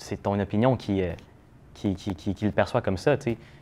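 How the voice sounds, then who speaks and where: A man with a fairly low voice and ordinary pitch variation is heard on a very clean recording against a silent background. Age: 20s. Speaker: social media influencer. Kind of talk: casual interview. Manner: hesitant, many fillers.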